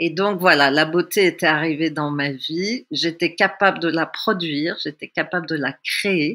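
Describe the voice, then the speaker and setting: A woman speaks very slowly in a bright, sharp tone with ordinary pitch variation. The recording is very clean, with a silent background. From Tunisia. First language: Russian (speaking French). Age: 60s. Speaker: theatre workshop leader. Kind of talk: personal testimony. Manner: reflective.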